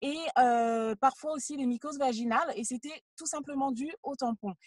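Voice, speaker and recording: Her high-pitched voice as a woman shows ordinary pitch variation. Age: 20s. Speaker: entrepreneur. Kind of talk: interview. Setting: in a car.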